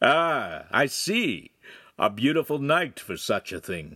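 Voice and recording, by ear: In a put-on character voice, a man speaks slowly with a bright, sharp tone, a slightly husky edge, and big pitch swings. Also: medium pitch for a man.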